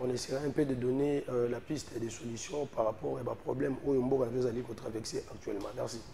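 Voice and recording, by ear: Speaking at a fast pace, a man uses a medium pitch with vocal fry and fairly even intonation.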